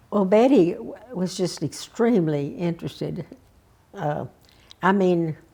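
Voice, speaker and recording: A woman with a Texas accent and a dark, mellow tone speaks fairly slowly at a fairly low pitch, with lively intonation and long, frequent pauses. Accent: Southern US (Texas). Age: 80s+. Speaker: civic leader and arts patron. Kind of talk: oral history interview answer. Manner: hesitant, reflective.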